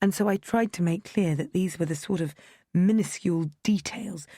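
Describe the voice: The clip holds plain reading aloud.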